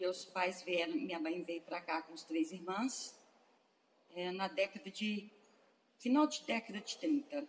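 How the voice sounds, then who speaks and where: Pausing long and often, a woman at medium pitch moves through very wide pitch swings. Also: fairly slow pace. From Betim, Minas Gerais, Brazil. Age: 50s. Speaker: hospital worker, daughter of patients. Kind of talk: oral history interview. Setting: museum in the colony.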